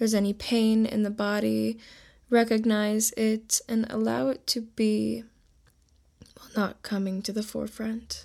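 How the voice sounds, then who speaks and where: In a very clean recording with a silent background, a woman with a fairly high pitch speaks at a fairly slow pace in a gentle, soothing, dark and mellow tone with fairly even intonation. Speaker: meditation guide podcast host. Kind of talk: guided meditation. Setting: solo podcast recording. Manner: slow, soothing, calm; instructive, gentle, unhurried.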